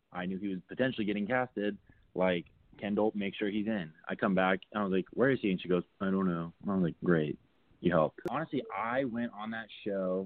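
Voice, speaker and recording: With an American accent, a man talks in a normal speaking voice at a fairly low pitch, using ordinary pitch variation and a fairly quick pace. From Southern California (Burbank). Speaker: reality TV contestant. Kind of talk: casual interview chat.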